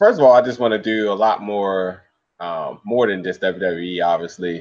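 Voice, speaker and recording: Against a quiet background, a man talks at a moderate pace with a fairly low pitch and lively intonation. He has an unremarkable speaking voice. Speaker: podcast co-host. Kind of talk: casual chat.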